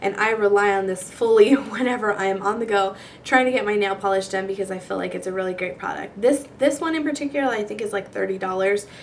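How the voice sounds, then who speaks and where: A woman talks at a very fast pace with hardly any pauses, her medium pitch showing ordinary variation. Noticeable background noise runs underneath. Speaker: beauty vlogger. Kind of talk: product review vlog. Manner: casual, chatty.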